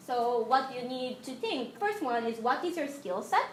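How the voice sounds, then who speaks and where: Speaking in a Japanese accent, a woman with a high pitch keeps a moderate pace. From Japan (Tokyo). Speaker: UI designer, guest speaker. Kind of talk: lecture. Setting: classroom with audience. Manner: halting.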